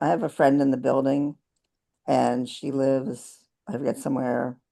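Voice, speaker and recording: A woman's very deep, low-pitched voice, dark and mellow in tone, at a moderate pace. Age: 70s. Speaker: condo owner and activist. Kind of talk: online panel discussion. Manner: halting, many false starts.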